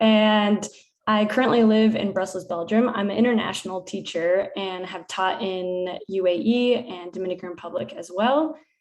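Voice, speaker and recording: In an American accent, a woman talks at a moderate pace and medium pitch, with ordinary pitch variation and an ordinary speaking voice. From United States. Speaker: PE teacher. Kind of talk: conference presentation.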